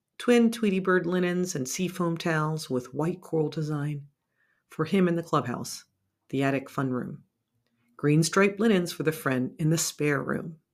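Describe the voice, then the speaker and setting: In a very clean recording with a silent background, a woman speaks at a moderate pace with a fairly low pitch and ordinary pitch variation. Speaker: podcast host and producer. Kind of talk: scripted personal essay narration.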